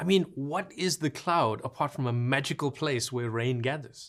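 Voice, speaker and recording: A man speaks at a fairly quick pace with a South African accent. His voice is somewhat breathy and moves in very wide pitch swings. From South Africa, Cape Town. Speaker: cloud solutions architect, course instructor. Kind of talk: online course lecture. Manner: casual and playful.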